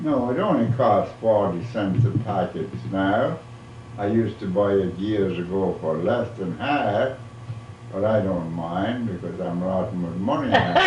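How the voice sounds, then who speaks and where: A man's fairly low voice at a fairly slow pace with ordinary pitch variation, amid noticeable background noise and audible room echo. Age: 80s+. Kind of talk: casual chat.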